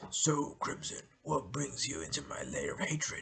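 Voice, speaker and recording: A man puts on a raspy character voice and talks at a moderate pace. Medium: read story. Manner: menacing.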